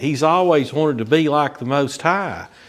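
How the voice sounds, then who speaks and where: His pitch sits fairly high. The man speaks with an American accent. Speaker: Bible study teacher. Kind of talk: Bible study lesson. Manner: casual, filler-heavy with repetitions.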